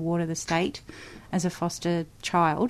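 Against a quiet background, a woman speaks with an Australian accent. Her voice is fairly low, and her pace is fairly slow. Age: 40s. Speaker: musician. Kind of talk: interview. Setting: studio.

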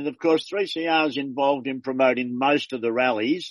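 A man with an Australian accent speaks at a moderate pace in a fairly high pitch for a man. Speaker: community radio host. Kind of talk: casual interview. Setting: phone call.

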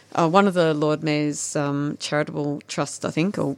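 A woman's very deep, low voice in an Australian accent, flat and monotone. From Victoria, Australia. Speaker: garden designer. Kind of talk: radio interview. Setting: studio. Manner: fast talker.

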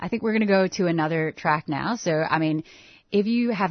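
This is a woman's voice. The pitch moves with ordinary variation. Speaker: radio host. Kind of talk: live radio hosting, casual chat. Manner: animated, laughs easily.

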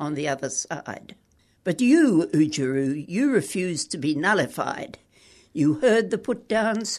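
Fairly slow and low-pitched, a woman speaks with an Australian accent and very wide pitch swings. The background is quiet. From Queensland, Australia. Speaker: poet. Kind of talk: interview; reading aloud.

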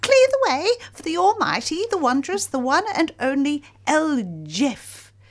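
A woman's put-on character voice, squeaky and high-pitched, pompous in tone, at a moderate pace. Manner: pompous, boastful.

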